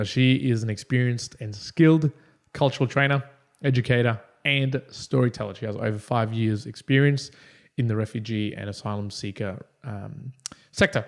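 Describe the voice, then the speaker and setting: On a very clean recording with a silent background, a man has a normal speaking voice, medium pitch and ordinary pitch variation at a moderate pace. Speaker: podcast host. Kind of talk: podcast introduction.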